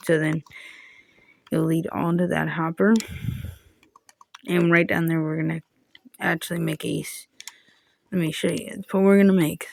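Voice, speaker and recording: A woman's quiet, raspy, put-on character voice, fairly low in pitch with ordinary pitch variation, at a moderate pace. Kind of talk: casual, explaining while working. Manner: talking low, quiet.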